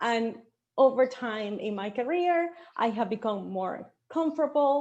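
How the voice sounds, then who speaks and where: Against a quiet background, a woman with a Venezuelan accent talks in a high pitch with lively intonation. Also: fairly slow pace. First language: Spanish. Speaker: marketing director. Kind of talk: panel discussion. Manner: animated.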